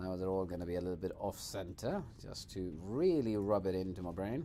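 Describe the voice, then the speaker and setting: Speaking fairly quickly with a Swedish accent, a man with a very deep, low pitch and a dark, mellow tone uses ordinary pitch variation amid audible room echo. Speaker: video game streamer. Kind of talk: gameplay livestream commentary. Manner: casual.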